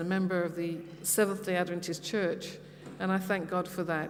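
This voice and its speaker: With a London accent, a woman speaks at medium pitch amid audible room echo. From London, England. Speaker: pastor's wife giving mission talk. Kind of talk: personal testimony talk. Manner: hesitant, with many fillers.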